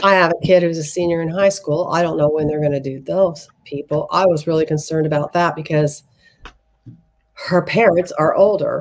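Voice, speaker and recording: At a moderate pace, a woman with a normal speaking voice talks in a fairly low pitch with fairly even intonation. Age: 60s. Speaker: tarot reader. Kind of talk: casual chat.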